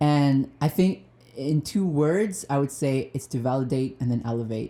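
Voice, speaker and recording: Using lively intonation, a man talks at a fairly slow pace in a dark, mellow tone. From Madagascar, later Lesotho and southern Africa. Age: 20s. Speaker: musician and student teacher. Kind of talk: casual interview chat.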